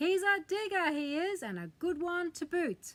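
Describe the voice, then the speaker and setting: In a put-on character voice, a woman bellows at an extremely high pitch, squeaky and raised to project, at a moderate pace. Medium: read story. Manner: bellowing, hearty.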